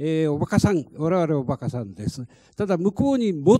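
Lively intonation marks this man's dark, mellow voice. His pace is fairly quick. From Fukushima, Minamisoma; Fukushima. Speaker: lead plaintiff, evacuee; panelist. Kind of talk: panel discussion. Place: meeting room. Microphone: handheld.

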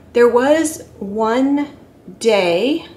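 Intonation is lively as a woman talks. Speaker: weight-loss vlogger. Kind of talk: casual vlog chat. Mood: earnest, expressive. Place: home room. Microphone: phone near.

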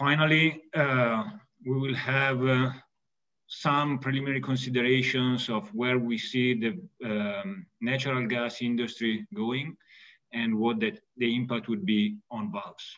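A man talks at a fairly slow pace in an Italian accent. The background is quiet. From Italy. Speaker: valve company executive and mechanical engineer. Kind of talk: technical webinar presentation. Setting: video call. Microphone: webcam.

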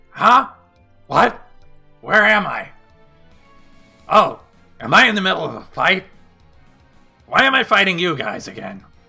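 A man in a put-on character voice talks at a moderate pace and a high pitch, with lively intonation, big swings in loudness, long, frequent pauses and faint music in the background.

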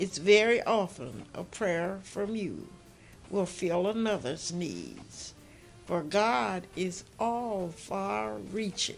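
Faint music sits in the background as a woman speaks at a very slow pace. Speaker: poet. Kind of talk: poetry reading. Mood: earnest, gentle, devout. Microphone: phone near.

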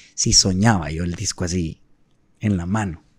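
The recording has a dry sound with no echo. The background is quiet. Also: man. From Guatemala. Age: 30s. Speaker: singer; podcast guest. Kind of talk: casual chat. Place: studio. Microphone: studio mic.

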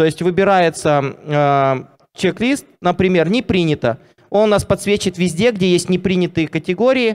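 Over a quiet background, a man speaks at a high pitch with ordinary pitch variation. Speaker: software company CEO. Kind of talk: live product demo. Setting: stage with audience. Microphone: handheld.

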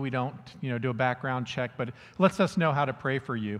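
A man talks at a fairly quick pace. His pitch rises and falls in an ordinary way. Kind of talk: church announcements. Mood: friendly, lightly joking. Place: church.

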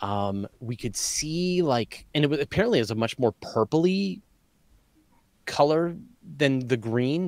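The sound is dry, without echo. A man speaks against a quiet background. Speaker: podcast host. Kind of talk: casual conversation. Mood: relaxed, mildly disappointed.

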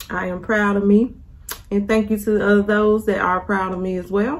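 Her pace is moderate. The speaker is a woman. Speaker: vlogger. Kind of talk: casual vlog chat while eating. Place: kitchen. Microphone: phone near.

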